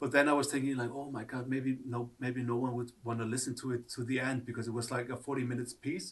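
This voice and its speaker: A man with an Icelandic accent talks at a very fast pace with hardly any pauses. His medium pitch holds to a monotone, flat intonation. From Iceland, Reykjavik. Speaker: artist. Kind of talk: interview. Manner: halting.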